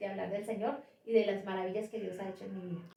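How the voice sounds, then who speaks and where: A woman's dark, mellow voice in a Bogotá accent. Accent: Bogotá Colombian Spanish. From Bogotá, Colombia. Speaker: pastor. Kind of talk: testimony. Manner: repeats words, slight hesitations.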